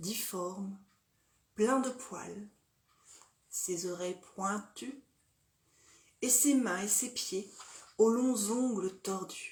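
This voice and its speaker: Somewhat breathy, a woman talks very slowly at a medium pitch with ordinary pitch variation. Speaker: storyteller. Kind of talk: dark fairy tale storytelling, narrated horror story.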